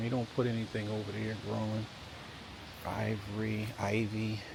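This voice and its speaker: At a fairly slow pace, a man speaks at a medium pitch with audible room echo. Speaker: real estate agent / video host. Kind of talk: property walkthrough tour. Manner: casual, conversational.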